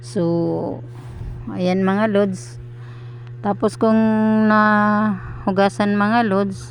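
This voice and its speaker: A woman speaks, and the room echo is audible. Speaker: cooking vlogger. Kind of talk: voiceover narration of cooking video. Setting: recorded at night when household asleep. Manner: halting, stuttering delivery; many filler sounds.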